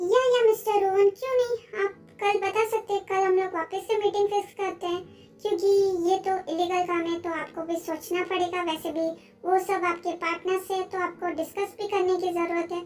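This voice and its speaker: A put-on character voice, female-sounding and extremely high-pitched. It moves at a fairly quick pace. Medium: read story. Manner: self-assured, Hinglish.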